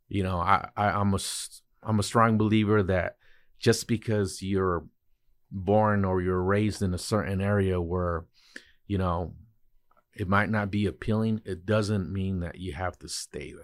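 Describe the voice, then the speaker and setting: This man has a normal speaking voice, fairly low in pitch with fairly even intonation. He talks at a fairly slow pace on a very clean recording with a silent background. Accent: American. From Oxnard, California. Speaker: entrepreneur. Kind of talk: interview.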